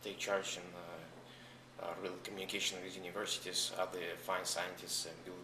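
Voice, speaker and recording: Over noticeable background noise, a man with a very deep, low pitch and a Russian accent speaks at a moderate pace in monotone, flat intonation. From Russia, Saint Petersburg; US from age 14. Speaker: entrepreneur. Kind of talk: interview.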